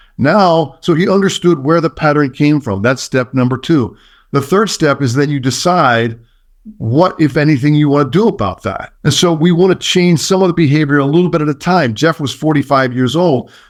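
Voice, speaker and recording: A plain, everyday voice with ordinary pitch variation moves at a moderate pace on a very clean recording with a silent background. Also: man, fairly high pitch for a man. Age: 60s. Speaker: leadership consultant. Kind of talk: podcast interview.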